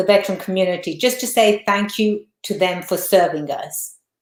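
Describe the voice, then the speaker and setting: A woman speaks with an English accent. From England. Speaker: lawyer. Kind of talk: interview.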